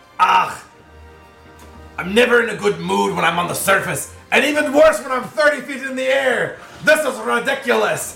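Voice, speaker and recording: Over clear background music, a man uses a gruff, put-on character voice at an extremely high pitch and a moderate pace. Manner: gruff, sour, grumpy.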